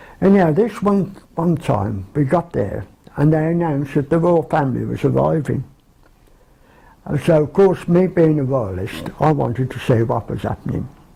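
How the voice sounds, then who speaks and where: A man with a Birmingham accent, fairly high in pitch, with lively intonation and a moderate pace. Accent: Birmingham (Brummie). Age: 70s. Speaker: care home resident. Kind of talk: reminiscence interview.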